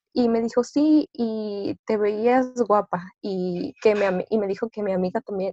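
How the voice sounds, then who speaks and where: Heard with a dry, close sound and no echo, a woman speaks in a dark, mellow tone at fairly high pitch with ordinary pitch variation. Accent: Mexican. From Mexico, Orizaba, Veracruz. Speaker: student activist. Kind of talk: interview.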